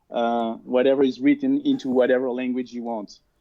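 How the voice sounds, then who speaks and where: A man talks with a French accent. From France. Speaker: cloud solution architect. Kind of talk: interview.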